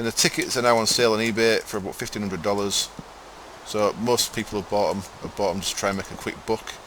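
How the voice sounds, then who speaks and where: Noticeable background noise sits behind a man with an East Yorkshire accent. He talks very fast at a medium pitch with fairly even intonation. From East Yorkshire, near Hull. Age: 30s. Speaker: gamer streamer. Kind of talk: live stream gameplay commentary. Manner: laid back.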